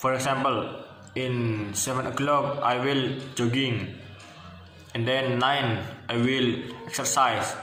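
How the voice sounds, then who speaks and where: A man with an Indonesian accent speaks at a medium pitch, very slowly, with long, frequent pauses and monotone, flat intonation. Audible room echo and noticeable background noise are present. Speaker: university student. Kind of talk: class presentation. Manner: halting.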